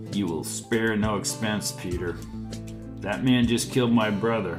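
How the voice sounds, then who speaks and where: Over loud music in the background, a man does a raspy put-on character voice at a fairly low pitch and a moderate pace. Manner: slow, saddened.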